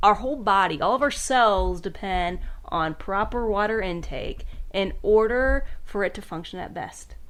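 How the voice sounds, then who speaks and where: Amid audible room echo, a woman at a medium pitch speaks at a moderate pace in an animated tone with lively intonation. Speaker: health and wellness podcast host. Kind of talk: casual educational podcast chat. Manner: mumbles sometimes.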